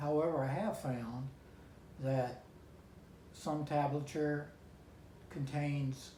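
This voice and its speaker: A man speaks with a fairly high pitch, fairly even intonation and a somewhat breathy voice. Long, frequent pauses break his speech, and audible room echo surrounds it. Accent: North Carolina. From US South. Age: 70s. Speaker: amateur guitarist. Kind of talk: vlog talk to camera. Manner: halting, with fillers.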